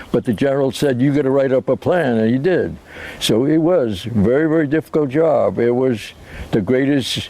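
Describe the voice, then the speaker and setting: Over noticeable background noise, a man with an American accent speaks at a moderate pace in a fairly high pitch. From US Northeast, Rhode Island. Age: 80s+. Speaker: war veteran. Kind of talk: interview testimony. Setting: outdoors. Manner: halting.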